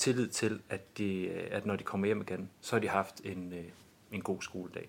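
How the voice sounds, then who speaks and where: A man speaks at a fairly slow pace. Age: 40s. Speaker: school principal. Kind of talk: interview. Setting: studio.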